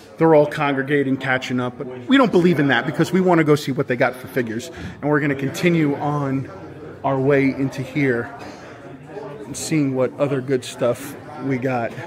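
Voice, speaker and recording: Amid noticeable background noise, a man talks at a fairly quick pace with fairly even intonation. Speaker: toy collector vlogger. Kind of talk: casual vlog chat. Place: hall. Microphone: phone near.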